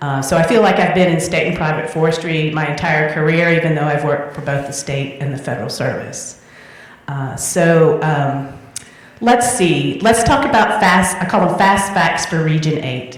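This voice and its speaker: Spoken in a Southern US accent with ordinary pitch variation, the voice has audible room echo and noticeable background noise. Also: woman, very deep, low pitch for a woman, moderate pace. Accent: Southern accent, back in full. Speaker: forestry official. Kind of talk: conference speech.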